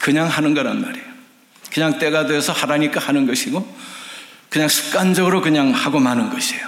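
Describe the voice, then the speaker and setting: Through noticeable background noise and audible room echo, a man talks at a fairly quick pace with a fairly high pitch and very wide pitch swings. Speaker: retired pastor and missionary. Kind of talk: sermon. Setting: church.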